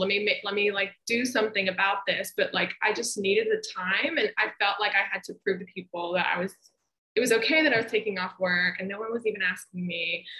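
Here is a woman with a normal speaking voice and an American accent, pitched at a medium level. She talks at a fairly quick pace. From US South, Memphis, Tennessee. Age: 20s. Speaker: grief therapist. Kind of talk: interview.

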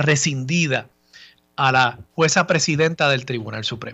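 A man speaks in an unremarkable speaking voice, fairly high-pitched for a man, with ordinary pitch variation at a moderate pace. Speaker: radio host, lawyer. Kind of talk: radio talk show commentary. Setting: radio studio.

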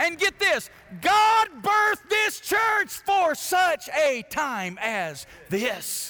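A raised, projected voice in an Alabama accent, very slow, with very wide pitch swings and noticeable background noise. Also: man, extremely high pitch for a man. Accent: Southern US (Alabama). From US South, Alabama. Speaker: pastor. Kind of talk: sermon. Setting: church.

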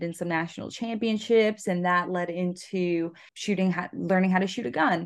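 In an ordinary speaking voice, a woman talks at a moderate pace with a fairly low pitch and fairly even intonation over a quiet background. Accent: American. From Florida. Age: 20s. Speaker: pre-veterinary student and shotgun instructor. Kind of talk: interview.

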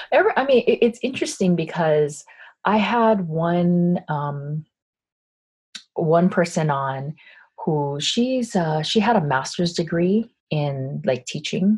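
A woman with an American accent, fairly low pitch, a somewhat breathy sound and a very slow pace. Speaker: business coach and podcaster. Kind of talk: interview conversation. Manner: projecting, not monotone.

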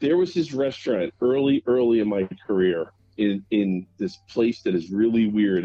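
A man with an unremarkable speaking voice talks at a fairly low pitch with lively intonation. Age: 50s. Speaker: stand-up comedian. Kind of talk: casual chat.

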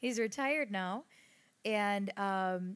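Using an ordinary speaking voice, a woman with an American accent talks at a medium pitch with ordinary pitch variation. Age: 30s. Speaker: podcast co-host. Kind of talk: casual chat. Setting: home recording studio.

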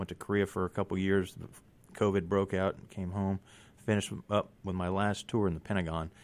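With a Southern US accent, a man talks at a fairly quick pace in a very deep, low voice. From US South (Mississippi). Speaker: political candidate and Marine veteran. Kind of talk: radio interview. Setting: studio. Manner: resolute.

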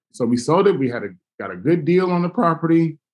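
The intonation rises and falls in a lively way. An American accent comes through. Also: man. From Los Angeles, US. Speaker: hospitality entrepreneur. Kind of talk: interview.

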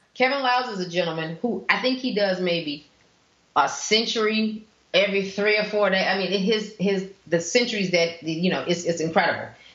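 Over noticeable background noise, a woman with an American accent speaks at a moderate pace with ordinary pitch variation. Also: medium pitch for a woman. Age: 50s. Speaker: cyclist. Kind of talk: casual chat. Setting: studio.

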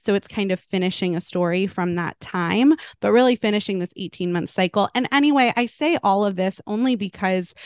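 A woman with a plain, everyday voice talks at a fairly quick pace with hardly any pauses, at a medium pitch with ordinary pitch variation. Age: 30s. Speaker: podcast co-host. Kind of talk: interview, casual chat.

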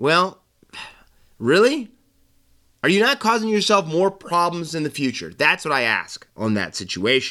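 In an American accent, the speaker has a bright, sharp tone, an animated delivery and very wide pitch swings at a moderate pace. Long, frequent pauses break up the speech on a very clean recording with a silent background. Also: man, high pitch for a man. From United States. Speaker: sports podcast host. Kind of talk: casual sports commentary.

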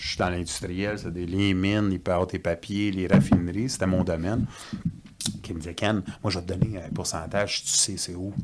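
In a Quebec accent, a man talks with a very deep, low pitch and fairly even intonation. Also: moderate pace. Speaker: whistleblower and industrial mechanic. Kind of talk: casual chat.

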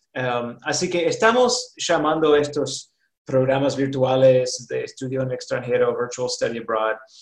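Speaking at a fairly slow pace, a man has a slight Rioplatense accent. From US South, North Carolina. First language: English (speaking Spanish). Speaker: college administrator. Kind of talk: interview.

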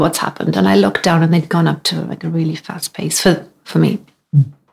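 In a Welsh accent, a woman talks at a very fast pace with very wide pitch swings. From Wales. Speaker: amateur runner. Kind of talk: casual chat.

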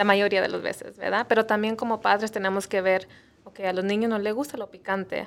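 A woman with a normal speaking voice keeps a medium pitch and fairly even intonation. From US Midwest (Missouri), Mexican parents. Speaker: nutritionist. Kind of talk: interview on health show.

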